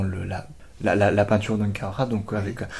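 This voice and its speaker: A man speaks in a fairly low, somewhat breathy voice. His tone is dark and mellow, with fairly even intonation. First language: Japanese (speaking French). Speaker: art student. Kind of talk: interview. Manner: halting.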